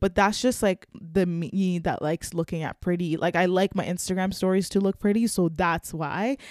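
A woman speaks in a normal speaking voice, medium in pitch, at a moderate pace with hardly any pauses and fairly even intonation. The sound is dry and close with no echo, a very clean recording with a silent background. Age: 20s. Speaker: podcast host. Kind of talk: casual monologue. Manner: casual, filler-heavy.

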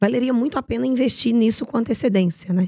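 A woman speaks with very wide swings in pitch. The sound is dry and close, with no echo. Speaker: podcast host. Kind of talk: interview.

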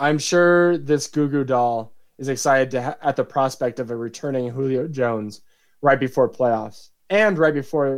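Medium in pitch, a man with a plain, everyday voice talks at a moderate pace. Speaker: fantasy football league commissioner and podcast co-host. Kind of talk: casual chat; scripted narration.

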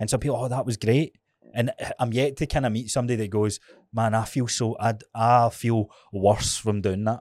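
Someone with a Scottish accent talks at a moderate pace with fairly even intonation on a very clean recording with a silent background. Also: man, medium pitch for a man. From Scotland. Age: 30s. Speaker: podcast host. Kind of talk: casual chat.

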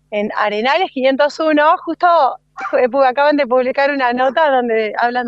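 In a Rioplatense accent, a woman speaks at a high pitch. Her pace is fairly slow. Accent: Argentine Rioplatense Spanish. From Argentina, Bolívar, Buenos Aires province. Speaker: floral stylist. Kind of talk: casual interview. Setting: phone call.

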